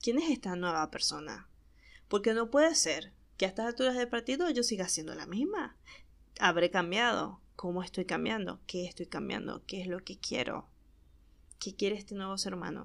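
A woman with a Maracaibo Venezuelan accent speaks at a medium pitch and moderate pace, with an animated tone and lively intonation. Her voice carries vocal fry, and she leaves long, frequent pauses. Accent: Maracaibo Venezuelan Spanish, voseo. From Venezuela, Maracaibo. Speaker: podcast host. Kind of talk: casual monologue.

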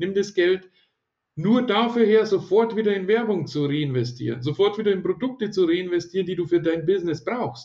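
This man talks at a moderate pace, his high-pitched voice carrying lively intonation. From Bavaria, near Ingolstadt. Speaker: online marketing entrepreneur and event organizer. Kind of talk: interview.

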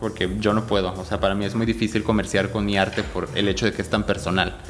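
Noticeable background noise accompanies a man speaking at a very fast pace. His pitch varies in an ordinary way. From Mexico City. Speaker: visual artist and dancer. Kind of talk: interview. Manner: hesitant, many fillers.

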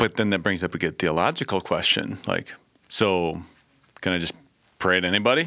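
On a very clean recording with a silent background, a man speaks at a very deep, low pitch with a bright, sharp tone. His pace is fairly quick, with ordinary pitch variation and long, frequent pauses. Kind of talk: casual chat. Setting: studio. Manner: loud.

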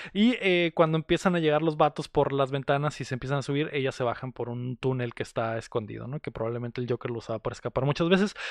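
Hardly pausing, a man speaks at a very fast pace. His pitch is fairly high, with ordinary pitch variation. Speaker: podcast host, film reviewer. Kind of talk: casual chat. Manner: animated.

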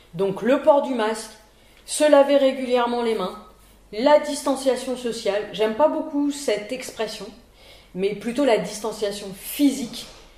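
Noticeable background noise and audible room echo surround a woman speaking in a high pitch. She goes at a fairly slow pace with long, frequent pauses. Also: ordinary pitch variation. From Paris region, France. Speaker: virology professor and physician. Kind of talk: interview.

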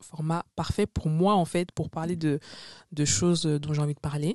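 A woman talks at a fairly quick pace in a very deep, low voice with a dark, mellow tone. Her intonation stays fairly even, and the sound is dry and close with no echo. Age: 20s. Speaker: podcaster. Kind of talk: casual monologue. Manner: chatty, filler-heavy.

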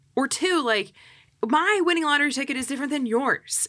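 A woman speaks at a fairly quick pace in a raised, projected voice, high-pitched and bright and sharp in tone, with very wide pitch swings. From US Northeast, Philadelphia area. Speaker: real estate agent. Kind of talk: casual chat. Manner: animated.

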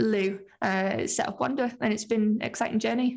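Fairly high-pitched with fairly even intonation, a woman talks in a plain, everyday voice. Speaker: film company founder. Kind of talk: casual interview chat.

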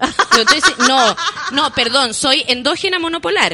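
Through noticeable background noise, a woman with a Chilean accent sounds animated, her intonation lively. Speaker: actress. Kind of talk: casual chat. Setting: radio studio. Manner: animated, storytelling.

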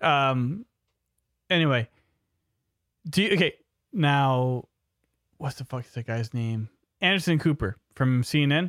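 With an American accent, the speaker talks at a fairly slow pace with long, frequent pauses, lively intonation and big swings in loudness. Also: man, fairly high pitch for a man. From New York City. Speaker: podcast host, remodeling business owner. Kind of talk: casual chat.

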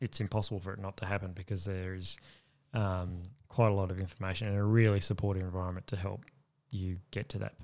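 A man with an Australian accent at a very fast pace, very deep and low in pitch, with monotone, flat intonation on a very clean recording with a silent background. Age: 40s. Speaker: army veteran. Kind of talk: interview.

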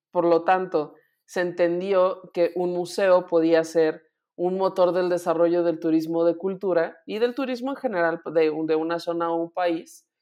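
In a Mexican accent, the speaker uses a dark, mellow tone with fairly even intonation at a fairly slow pace, against a quiet background. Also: woman, fairly low pitch for a woman. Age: 30s. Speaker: podcast host. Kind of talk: casual chat.

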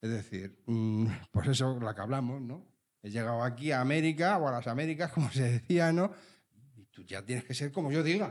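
A man talks at a fairly quick pace in a normal speaking voice, his pitch sitting in the medium range. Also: big swings in loudness. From Spain, Leganés (Madrid). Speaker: podcast host. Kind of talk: casual chat. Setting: recording with live audience.

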